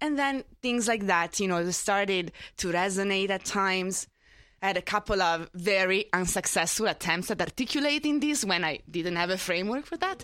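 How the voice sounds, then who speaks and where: In a very clean recording with a silent background, a woman talks at a moderate pace with an Italian accent and a medium pitch. Her loudness stays very even while her intonation is lively. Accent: noticeable Italian. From Italy. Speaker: panelist. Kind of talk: live panel discussion.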